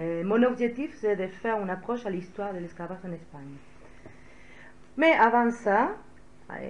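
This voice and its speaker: Speaking at a moderate pace with a Spanish accent, a woman with a medium-pitched voice uses lively intonation and big swings in loudness, leaving long, frequent pauses amid audible room echo. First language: Spanish (speaking French). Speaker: historian. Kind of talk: lecture. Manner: hesitant, many filler sounds.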